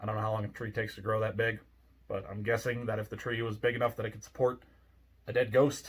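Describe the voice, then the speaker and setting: Speaking at a very fast pace, a man at medium pitch sounds somewhat breathy, his intonation monotone and flat. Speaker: ghost story narrator. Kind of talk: casual talk to camera. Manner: grumpy, cynical, sarcastic.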